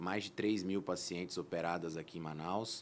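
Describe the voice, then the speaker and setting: The pace of this man's speech is moderate. His pitch shows ordinary variation. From interior of São Paulo state, Brazil. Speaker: plastic surgeon, guest. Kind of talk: interview podcast.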